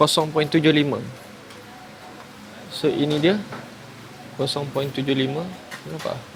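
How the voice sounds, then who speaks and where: A man speaks with fairly even intonation and long, frequent pauses, with music in the background and audible room echo. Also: fairly high pitch for a man. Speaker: vlogger. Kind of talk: casual vlog. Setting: outdoors. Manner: loud.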